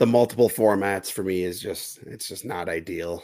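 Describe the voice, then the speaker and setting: Speaking at a moderate pace, a man with an ordinary speaking voice uses a fairly low pitch and ordinary pitch variation. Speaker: fantasy sports podcast host. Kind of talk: casual chat. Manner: talkative, conversational with filler words.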